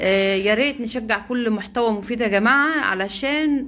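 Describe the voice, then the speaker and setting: A woman with an Egyptian accent, fairly high in pitch, with ordinary pitch variation. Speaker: poultry-raising vlogger. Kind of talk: casual vlog.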